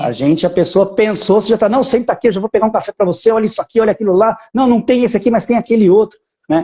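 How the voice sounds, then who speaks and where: Talking at a very fast pace, a man with a high pitch and a dark, mellow tone shows ordinary pitch variation. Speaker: citizenship agency owner. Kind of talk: live stream interview.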